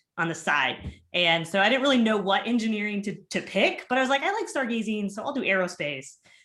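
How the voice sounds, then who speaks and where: Very fast and bright, sharp in tone, a woman with a Minnesotan accent speaks at a medium pitch with lively intonation. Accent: Minnesota. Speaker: engineering professor. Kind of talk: panel discussion.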